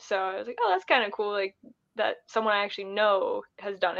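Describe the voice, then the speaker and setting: A woman of medium pitch speaks with a Midwestern US accent. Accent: US Midwest. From Ohio. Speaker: thru-hiker. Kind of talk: casual interview.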